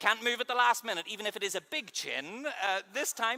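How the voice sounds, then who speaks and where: A man speaks at an extremely high pitch in a raised, projected voice with a bright, sharp tone. His intonation is lively and his pace moderate. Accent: Northern Irish. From Northern Ireland. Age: 30s. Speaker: keynote speaker and mind reader. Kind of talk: conference keynote talk. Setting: stage with audience. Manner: animated.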